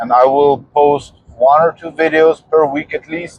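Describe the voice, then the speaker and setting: Speaking at a very slow pace, a man with a fairly high pitch keeps a fairly even intonation in a dry, close sound with no echo. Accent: strong non-native. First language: not English. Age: 40s. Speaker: fitness vlogger. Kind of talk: personal vlog monologue. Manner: halting.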